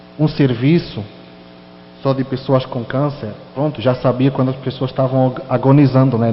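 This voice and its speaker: Spoken at a moderate pace in a European Portuguese accent, the voice carries audible room echo over noticeable background noise. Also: man. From Portugal. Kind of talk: sermon with personal testimony.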